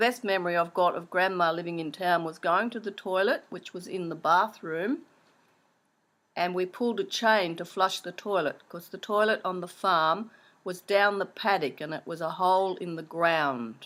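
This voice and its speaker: A woman's medium-pitched voice in an Australian accent, at a moderate pace with ordinary pitch variation and big swings in loudness, on a very clean recording with a silent background. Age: 60s. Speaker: interviewee recalling childhood. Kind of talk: oral history interview.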